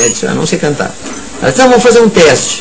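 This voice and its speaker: Very wide pitch swings fill a man's voice, with audible room echo and noticeable background noise. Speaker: writer and violinist. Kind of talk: radio interview. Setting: radio studio. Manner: halting.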